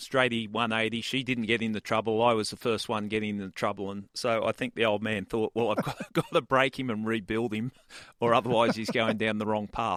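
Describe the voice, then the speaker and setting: With an Australian accent and monotone, flat intonation, this voice moves at a fairly quick pace on a very clean recording with a silent background. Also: man, medium pitch for a man, dry, close sound with no echo. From Australia, Sydney. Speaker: retired homicide detective. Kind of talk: interview storytelling.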